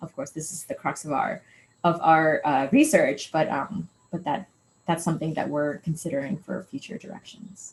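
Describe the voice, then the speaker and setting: A woman with a fairly low pitch and a somewhat breathy voice speaks with ordinary pitch variation and big swings in loudness. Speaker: postdoc researcher. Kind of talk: lecture. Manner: fast.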